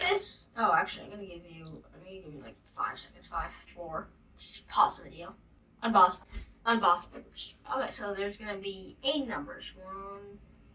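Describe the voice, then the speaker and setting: A woman with a normal speaking voice talks at a moderate pace in a medium pitch, with ordinary pitch variation and big swings in loudness. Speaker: coding tutorial youtuber. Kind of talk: tutorial. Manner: casual, filler-heavy.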